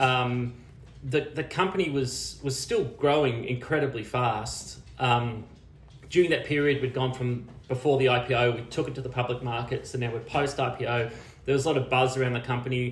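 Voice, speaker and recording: Heard with audible room echo, a man speaks in an Australian accent at a medium pitch with fairly even intonation. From Australia, small country town near Canberra. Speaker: media and technology executive. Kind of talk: interview. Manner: halting, many repeated words and fillers.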